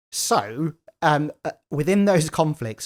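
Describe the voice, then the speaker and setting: A man with an English Midlands accent on a very clean recording, silent in the background, dry and close with no echo. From English Midlands, Leicester. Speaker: lawyer and tech entrepreneur. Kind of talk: interview conversation. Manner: halting, repeats words.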